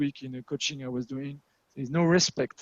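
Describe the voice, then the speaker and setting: Dry and close with no echo, the recording has a man with a strong French accent talking fairly quickly at a fairly high pitch in a monotone, flat way. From France. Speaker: agile coach and meetup facilitator. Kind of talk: online meetup presentation.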